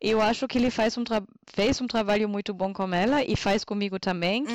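In a German accent, a woman talks at a moderate pace and a fairly high pitch. Her pitch varies in an ordinary way, and the sound is dry and close with no echo. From northern Germany, Münsterland. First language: German (speaking Portuguese). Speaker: podcast guest. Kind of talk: casual chat. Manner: halting.

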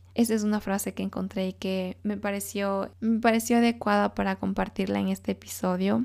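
Hardly any pauses break up the fairly quick speech of this woman. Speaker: self-help podcast host. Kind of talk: solo motivational monologue.

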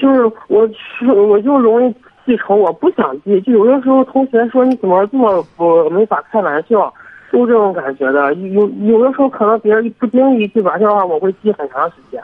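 A man talks at a moderate pace with a high pitch and lively intonation. Noticeable background noise is heard. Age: 20s. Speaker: vocational college student. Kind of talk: phone-in advice call. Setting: phone call. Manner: halting.

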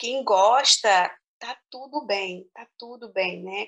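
A woman with ordinary pitch variation. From Brazil, small interior town. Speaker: teacher. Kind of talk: interview. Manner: hesitant, repeats words.

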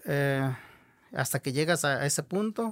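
A fairly high-pitched man at a fairly slow pace, on a very clean recording against a silent background. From Nayarit, Mexico (Huichol community). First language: Huichol (Wixárika) (speaking Spanish). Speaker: Huichol artist and teacher. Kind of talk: interview conversation.

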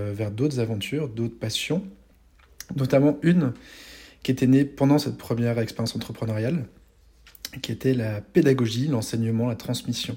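The tone is dark and mellow, somewhat breathy, with ordinary pitch variation. The pace is moderate, on a very clean recording with a silent background. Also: man. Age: 40s. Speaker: serial entrepreneur and educator. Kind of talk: casual interview chat.

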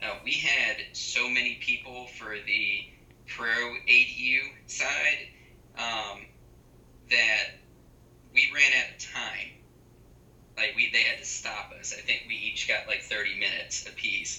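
A man talks at a very slow pace, with long, frequent pauses. Noticeable background noise and audible room echo surround his voice. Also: big swings in loudness. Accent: American. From Raleigh, North Carolina. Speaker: open government advocate. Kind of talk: casual interview.

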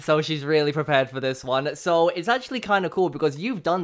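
Fairly quick speech from a man with an English accent, fairly high-pitched, with ordinary pitch variation. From England. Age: 20s. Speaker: radio announcer. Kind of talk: casual chat. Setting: home studio, personal microphone.

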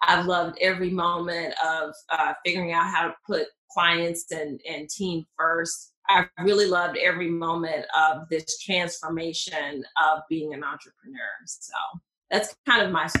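A woman speaks at a fairly low pitch with a Southern US accent. Her pace is fairly slow and her intonation fairly even. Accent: Southern US, pronounced. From Mississippi, US South. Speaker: patent attorney. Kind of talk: interview, conversational explanation.

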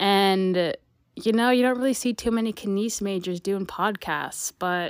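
A woman's normal speaking voice at medium pitch, fairly slow, with ordinary pitch variation, on a very clean recording with a silent background. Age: 20s. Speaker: university student podcaster. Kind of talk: solo podcast monologue. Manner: casual, upbeat.

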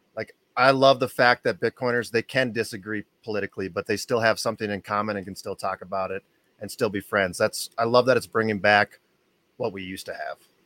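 In a dry, close recording with no echo, a man with a fairly low pitch talks very fast in a bright, sharp tone, his loudness swinging widely while his intonation stays fairly even. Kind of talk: casual panel chat. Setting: live stream.

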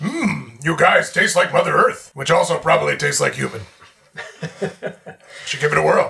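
A man puts on a character voice, moving at a moderate pace and stopping often for long pauses. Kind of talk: comic overacting. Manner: broken caveman English, dim and jolly.

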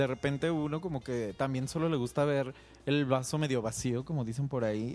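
With music in the background, a man talks at a fairly quick pace and fairly even intonation. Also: medium pitch for a man. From Mexico, Guadalajara. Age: 30s. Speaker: podcast co-host, graphic designer. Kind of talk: casual chat.

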